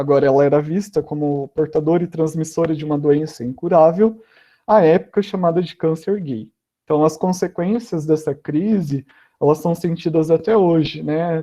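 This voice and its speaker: At a moderate pace, a man talks with an unremarkable speaking voice, a fairly high pitch and ordinary pitch variation. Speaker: guest speaker at school online event. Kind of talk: educational talk. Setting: online live stream.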